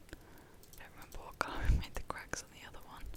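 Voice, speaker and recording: A whisper delivered at a fairly quick pace. Noticeable noise sits in the background. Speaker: ASMR gaming creator. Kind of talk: whispered ASMR gameplay commentary. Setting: home USB microphone. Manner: whispered.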